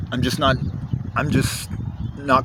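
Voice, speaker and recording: With noticeable background noise around him, a man speaks fairly quickly. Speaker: video diarist. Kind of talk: video journal monologue. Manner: halting.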